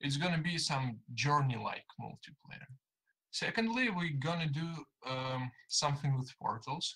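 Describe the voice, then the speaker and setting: Speaking at a fairly slow pace with a Russian accent, the man has a fairly high pitch, a bright, sharp tone, and ordinary pitch variation. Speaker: viewer interviewee. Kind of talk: casual opinion. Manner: halting.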